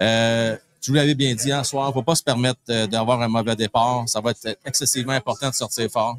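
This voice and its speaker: Recorded dry and close with no echo, a man talks at a fairly quick pace. His pitch is medium, his intonation fairly even, and his loudness very even. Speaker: hockey show host. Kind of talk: live pre-game sports talk. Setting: live broadcast from a pub. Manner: fast.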